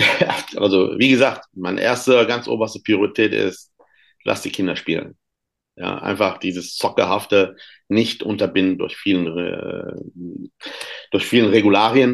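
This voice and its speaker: With long, frequent pauses, a man speaks at a fairly slow pace and a fairly low pitch. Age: 50s. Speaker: youth football coach and author. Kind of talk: podcast interview. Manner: halting, many fillers.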